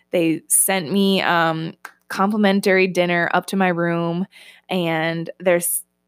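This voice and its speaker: Music in the background, with a dry, close sound and no echo. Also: woman. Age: 20s. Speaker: podcast host and online health coach. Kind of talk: casual personal storytelling monologue. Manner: animated.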